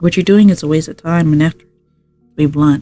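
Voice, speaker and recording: Over background music, a woman is talking. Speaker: streamer. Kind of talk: reading aloud. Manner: halting.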